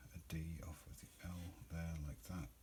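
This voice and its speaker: A man mumbles at a fairly slow pace in a very deep, low, somewhat breathy voice. Room echo is audible. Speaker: occult teacher. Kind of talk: tutorial. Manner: mumbling; halting.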